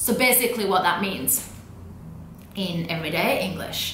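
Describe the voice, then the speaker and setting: A woman at medium pitch speaks with lively intonation. Noticeable background noise runs underneath. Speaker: language educator. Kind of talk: casual talk to camera. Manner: upbeat, casual.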